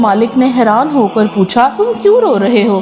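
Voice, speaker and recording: A woman talks over noticeable background noise. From Pakistan. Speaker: voice-over artist. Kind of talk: moral story narration.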